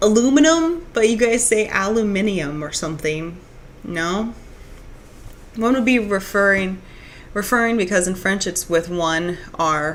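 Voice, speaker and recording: A medium-pitched woman at a fairly slow pace, lively intonation, long and frequent pauses, and audible room echo. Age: 30s. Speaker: streamer. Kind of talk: casual chat. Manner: halting.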